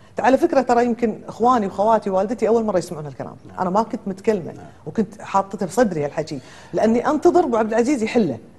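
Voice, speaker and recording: Very wide pitch swings from a woman with a fairly high pitch, at a very fast pace. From Kuwait. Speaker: lawyer and businesswoman; lawyer. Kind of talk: TV talk show interview. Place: studio. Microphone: lapel.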